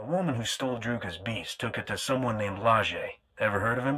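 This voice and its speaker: A man speaks in a put-on character voice at medium pitch. His delivery comes very fast. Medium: video game.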